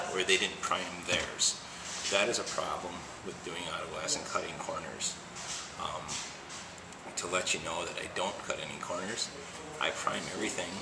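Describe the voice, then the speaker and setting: Amid noticeable background noise, a man's voice holds a moderate pace. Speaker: auto glass installer. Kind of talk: casual demonstration talk to camera. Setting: auto shop. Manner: quiet, soft-spoken. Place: garage. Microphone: phone near.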